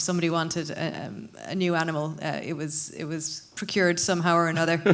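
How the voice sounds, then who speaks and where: A woman's fairly low-pitched voice at a very fast pace, with audible room echo. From Ireland, North Cork. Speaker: ecology professor, research co-director. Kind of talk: panel discussion.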